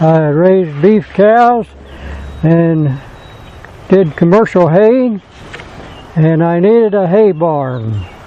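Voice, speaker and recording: Speaking very slowly with long, frequent pauses, a man uses a high voice and lively intonation over noticeable background noise. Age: 80s+. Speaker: sawmill operator and retired farmer. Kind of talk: casual interview talk.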